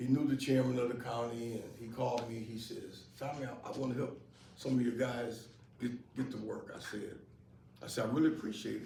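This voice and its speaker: A man talks at a fairly quick pace with fairly even intonation and big swings in loudness, over noticeable background noise and audible room echo. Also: medium pitch for a man. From US Midwest, Rockford, Illinois. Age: 70s. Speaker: employment placement advocate. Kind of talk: interview before live audience. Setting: event with live audience. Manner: halting, repeats words.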